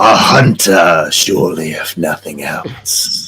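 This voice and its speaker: A man puts on a raspy character voice, very deep and low. He speaks at a fairly slow pace. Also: ordinary pitch variation. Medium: actual play. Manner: sly, knowing.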